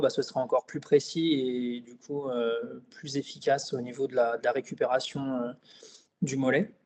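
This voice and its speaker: This man speaks at a fairly high pitch. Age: 30s. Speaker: client giving a testimonial. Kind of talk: interview testimony. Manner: hesitant, many fillers.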